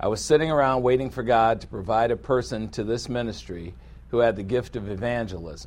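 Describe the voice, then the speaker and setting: A man speaks at a fairly quick pace in a medium pitch, with ordinary pitch variation and a plain, everyday voice. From US inner city. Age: 60s. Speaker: pastor and Bible teacher. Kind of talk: sermon and Bible lesson.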